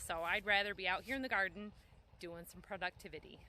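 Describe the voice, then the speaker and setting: The woman's voice has a bright, sharp tone. Her intonation stays fairly even. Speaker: small farmer and homesteader. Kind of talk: casual vlog narration. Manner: fast; loud.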